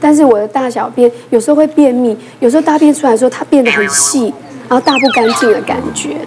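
Noticeable background noise sits behind a woman talking at a fairly quick pace. Her pitch is high, with ordinary variation. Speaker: emergency physician. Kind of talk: casual talk show chat. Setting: studio. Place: studio.

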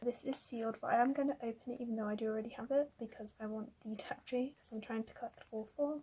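Quietly, a woman speaks with fairly even intonation. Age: young. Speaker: kpop photocard collector. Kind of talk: casual talk to camera. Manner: quiet, subdued. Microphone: phone near.

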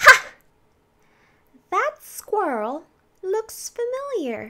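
The pace is very slow. A woman talks in a put-on character voice, her pitch extremely high. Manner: playful.

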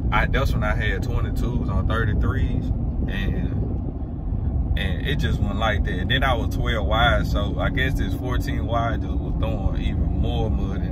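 A man speaks at a fairly slow pace. The sound is dry with no echo, but the background noise is loud. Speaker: truck vlogger. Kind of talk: casual vlog chat. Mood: relaxed, amused. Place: car. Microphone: phone near.

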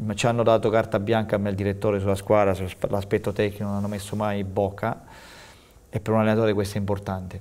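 The delivery comes at a very fast pace with monotone, flat intonation. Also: man, fairly low pitch for a man. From Abruzzo. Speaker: football coach; football coach guest. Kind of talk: TV interview. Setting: TV studio. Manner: halting, repeats words. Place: studio.

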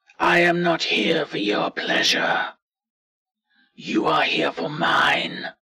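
Using a put-on character voice, a man shouts loudly and raspily at a very slow pace, with long, frequent pauses. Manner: loud, commanding shout.

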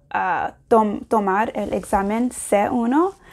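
A woman speaks with an English accent and ordinary pitch variation. The background is quiet. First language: English (speaking Spanish). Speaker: language learner vlogger. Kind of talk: casual vlog. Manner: halting, many fillers. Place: home room. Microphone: lapel.

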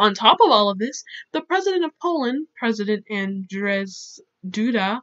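A woman's fairly high voice with lively intonation at a moderate pace. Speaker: YouTuber who paints and educates. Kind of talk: educational talk to camera, reading quotes from articles. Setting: home recording, poor audio. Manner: awkward.

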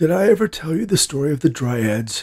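Putting on a character voice, a man talks at a fairly quick pace with big pitch swings, a slightly mellow tone and a slightly husky edge.

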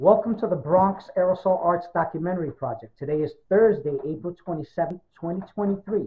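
Talking at a fairly quick pace with hardly any pauses, a man uses a high voice with ordinary pitch variation. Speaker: research librarian and archivist. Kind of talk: formal oral history introduction.

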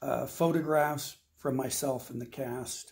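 Here a man speaks at a fairly slow pace with a dark, mellow tone and a somewhat breathy quality. The background is quiet. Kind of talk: promotional announcement. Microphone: phone near.

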